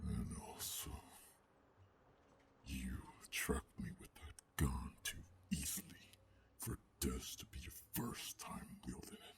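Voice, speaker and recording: A man whispers and growls in a gruff, put-on character voice. His pace is fairly slow, with long, frequent pauses. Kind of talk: ASMR roleplay. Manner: calm, menacing.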